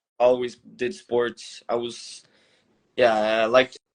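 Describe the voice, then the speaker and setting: A man speaks with a Quebec French accent at a fairly slow pace. His intonation is monotone and flat. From Montreal, Quebec, Canada. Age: 20s. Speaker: MMA fighter. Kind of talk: casual interview. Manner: halting.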